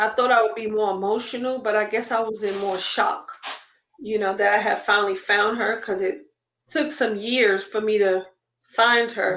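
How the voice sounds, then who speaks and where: In a normal speaking voice, a woman with fairly high pitch speaks with an American accent. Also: fairly even intonation, moderate pace. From Queens, New York. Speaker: adoptee sharing family search story. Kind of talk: interview testimony.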